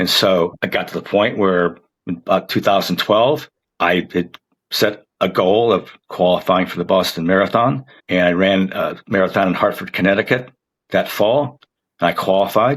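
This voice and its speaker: A plain, everyday voice belongs to a man. He talks at a moderate pace with a fairly low pitch. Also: ordinary pitch variation. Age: 60s. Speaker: marathon runner. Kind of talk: podcast interview.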